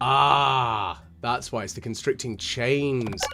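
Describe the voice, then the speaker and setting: A man speaks with a British accent. Music plays in the background. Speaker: gaming YouTuber / ASMR-style let's player. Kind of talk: casual gameplay commentary to camera.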